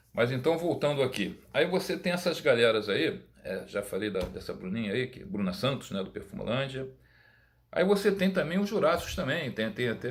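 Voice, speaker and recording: A somewhat breathy man at a moderate pace, with very wide pitch swings. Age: 60s. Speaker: perfume YouTuber. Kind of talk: casual monologue. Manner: halting, many repetitions.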